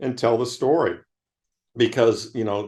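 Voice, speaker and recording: In a quiet setting, a man talks at a moderate pace with an American accent. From US Midwest, Michigan. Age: 60s. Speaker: investment manager. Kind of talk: interview conversation. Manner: animated.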